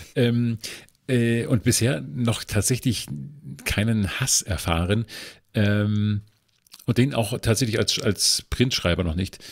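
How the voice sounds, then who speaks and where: Speaking very slowly with long, frequent pauses, a man keeps a medium pitch and ordinary pitch variation. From northern Germany. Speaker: culture journalist. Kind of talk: casual chat. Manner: halting, many filler sounds.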